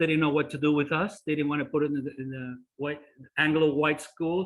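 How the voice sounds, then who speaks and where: A man with a Spanish accent speaks at a fairly high pitch with fairly even intonation. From Cuba, raised in Miami Beach. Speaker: presenter on history. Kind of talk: presentation with Q&A. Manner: hesitant, many fillers.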